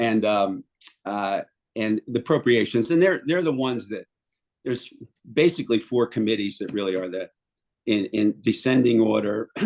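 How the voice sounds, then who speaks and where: Speaking with a Philadelphia accent, a man at medium pitch moves at a moderate pace with long, frequent pauses and ordinary pitch variation, in a dry, close sound with no echo. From Philadelphia, Port Richmond. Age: 70s. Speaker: city councilmember. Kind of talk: interview. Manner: halting, many fillers.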